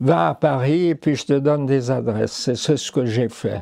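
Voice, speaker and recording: Speaking very slowly, a man uses a fairly high pitch and a dark, mellow tone. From Ticino, Switzerland. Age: 80s+. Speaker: painter and engraver. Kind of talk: interview. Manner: halting, with hesitations.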